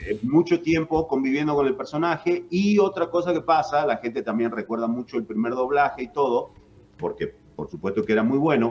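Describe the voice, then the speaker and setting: A man's fairly high-pitched voice with lively intonation at a fairly quick pace. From northern Argentina (Jujuy). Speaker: voice actor and announcer. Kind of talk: radio interview.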